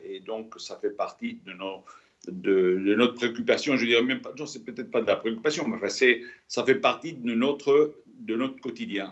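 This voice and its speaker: A man talks at a moderate pace. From Spain. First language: Spanish (speaking French). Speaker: retired test pilot chief. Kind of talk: onstage interview. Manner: halting, many repetitions.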